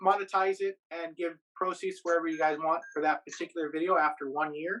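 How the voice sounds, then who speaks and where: A loud man with a high pitch, a bright, sharp tone, fairly even intonation and a fairly quick pace. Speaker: YouTuber and podcaster living in Japan. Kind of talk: casual podcast interview.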